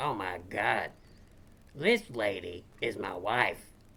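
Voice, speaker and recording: A man puts on a character voice, raspy and fairly low. He speaks at a very slow pace. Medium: comedy sketch.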